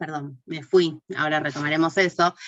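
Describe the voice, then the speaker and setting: A woman with a very deep, low voice talks at a fairly slow pace, her intonation fairly even. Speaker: course teacher. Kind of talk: online class lecture. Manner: hesitant, many fillers.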